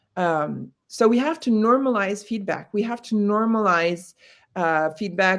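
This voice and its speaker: With an American accent, a woman speaks in a plain, everyday voice. Her pitch is medium and her intonation lively. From United States. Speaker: corporate trainer. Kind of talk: webinar discussion.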